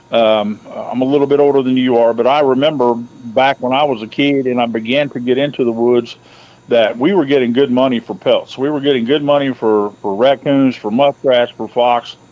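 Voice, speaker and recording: Noticeable background noise accompanies the clip. A man's medium-pitched voice keeps fairly even intonation. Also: moderate pace. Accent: American. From central Ohio. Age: 50s. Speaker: hunter and trapper. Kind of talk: casual interview.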